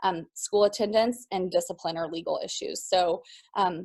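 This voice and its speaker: The voice is a woman's. The background is quiet. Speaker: school psychologist. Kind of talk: webinar presentation. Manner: fast; frequent filler ums.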